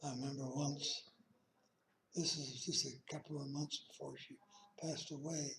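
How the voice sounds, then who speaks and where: Speaking at a moderate pace with long, frequent pauses, a man keeps a fairly high pitch in a monotone, flat intonation. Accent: American. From Utah, Ogden. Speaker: elderly man telling life story. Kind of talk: oral life history. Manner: halting.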